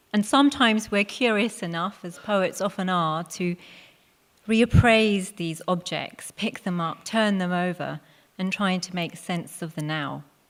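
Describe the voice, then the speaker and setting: A woman talks at a fairly slow pace. Her medium pitch has ordinary variation. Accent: London. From England, Hounslow, west London. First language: Punjabi. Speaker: poet. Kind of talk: talk to live audience.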